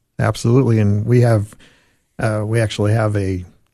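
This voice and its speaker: Speaking with an American accent, a man uses a plain, everyday voice, fairly low in pitch, with fairly even intonation. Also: quiet background. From Arizona. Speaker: hiking club chairperson. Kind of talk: radio interview.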